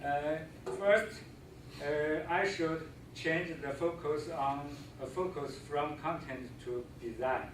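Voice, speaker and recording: Amid audible room echo and noticeable background noise, a man with a Chinese accent speaks very slowly at a fairly high pitch with ordinary pitch variation. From China. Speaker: visiting scholar, teacher. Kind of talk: presentation. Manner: halting, many fillers.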